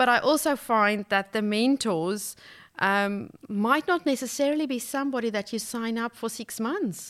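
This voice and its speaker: A woman speaks in a fairly high pitch with a normal speaking voice. The recording is very clean, with a silent background. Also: ordinary pitch variation, moderate pace. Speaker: life coach. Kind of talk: casual interview chat. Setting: studio.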